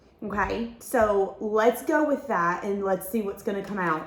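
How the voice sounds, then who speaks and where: Amid noticeable background noise, a woman speaks at a fairly slow pace, her medium pitch showing ordinary variation. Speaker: tarot reader. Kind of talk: tarot reading.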